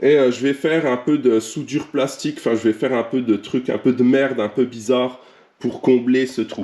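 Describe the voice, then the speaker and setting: At a moderate pace, a man speaks in a medium pitch with a dark, mellow tone and fairly even intonation. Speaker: car tuning youtuber. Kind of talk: casual vlog tutorial.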